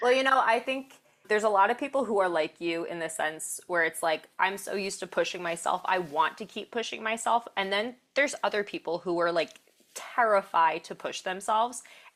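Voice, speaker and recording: This woman talks at a fairly quick pace in an ordinary speaking voice. Her pitch sits in the middle range, with lively intonation. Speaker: podcast host, strength coach. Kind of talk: podcast interview talk.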